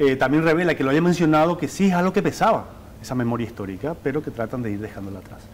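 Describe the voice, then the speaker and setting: The pace is very fast, and the pitch swings very widely. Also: man, fairly high pitch for a man. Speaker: TV journalist. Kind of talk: studio report on interview.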